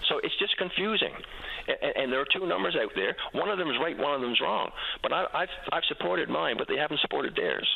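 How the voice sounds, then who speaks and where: A man talks at a very fast pace with very even loudness. Noticeable background noise is present. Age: 70s. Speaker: whistleblower, former oversight panel member. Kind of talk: radio call-in interview. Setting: phone call to radio show. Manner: halting, many repetitions.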